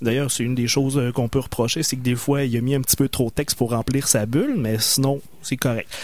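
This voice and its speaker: A man has an unremarkable speaking voice, medium in pitch, at a fairly quick pace. His intonation is fairly even and his loudness very even. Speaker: radio co-host. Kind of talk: casual chat.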